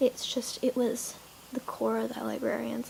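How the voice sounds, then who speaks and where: Noticeable background noise fills the clip. Through it, a woman keeps a moderate pace. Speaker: fan vlogger. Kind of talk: casual fan monologue.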